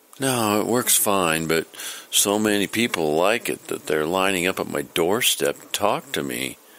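In a put-on character voice, a man speaks with a low pitch, a fairly bright tone and lively intonation. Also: fairly slow pace.

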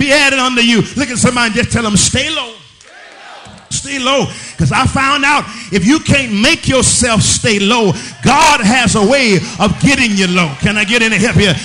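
A man's raised, projected voice at an extremely high pitch, lively in intonation and moderate in pace, over light background noise. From Southern United States. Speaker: pastor. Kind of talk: sermon. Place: church. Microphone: podium.

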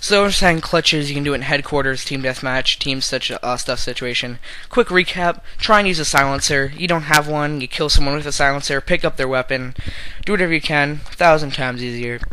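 Noticeable background noise behind a man with a fairly high pitch, a fairly quick pace and ordinary pitch variation. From Canada. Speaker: gamer video creator. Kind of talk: casual gameplay commentary. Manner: casual, rambling, filler words.

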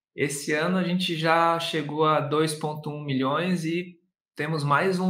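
In a room with audible echo, a man speaks at a fairly high pitch with a bright, sharp tone and monotone, flat intonation. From interior of São Paulo state, Brazil. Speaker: online course entrepreneur, singer and actor. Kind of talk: casual interview chat. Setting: video call. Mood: relaxed, thoughtful. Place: home room. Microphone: webcam.

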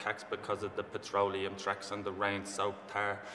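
Audible room echo and light background noise accompany the speaker. He is a man with a fairly low pitch. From Ireland. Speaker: spoken word poet. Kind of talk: spoken word poetry performance. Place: hall.

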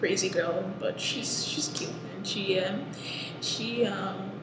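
A woman speaks very slowly amid noticeable background noise and audible room echo. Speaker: vlogger reviewer. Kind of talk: casual vlog chat. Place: classroom. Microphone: headset.

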